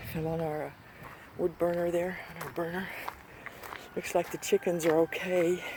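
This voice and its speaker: Speech moves at a moderate pace with long, frequent pauses. Noticeable background noise runs underneath. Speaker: homesteader vlogger. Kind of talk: casual vlog walkthrough.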